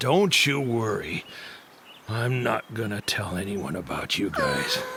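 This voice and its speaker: Over clear background noise, a man puts on a raspy character voice at medium pitch and a fairly slow pace. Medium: fan dub. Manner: gruff, cocky.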